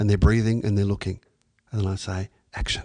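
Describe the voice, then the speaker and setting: Recorded dry and close with no echo against a quiet background, a man speaks with an Australian accent in a fairly low voice with a dark, mellow tone. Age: 50s. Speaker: acting teacher. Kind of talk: interview.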